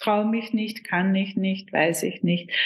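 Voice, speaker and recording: This woman speaks at a fairly slow pace. Her pitch sits in the medium range. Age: 50s. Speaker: business consultant and coach. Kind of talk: interview conversation.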